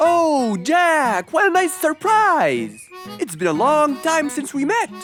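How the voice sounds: In a put-on character voice with big pitch swings and a fairly bright tone, the speaker goes at a slow pace over faint music in the background.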